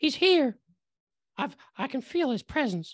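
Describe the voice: A female-sounding, put-on character voice speaks shakily at a high pitch and a fairly slow pace.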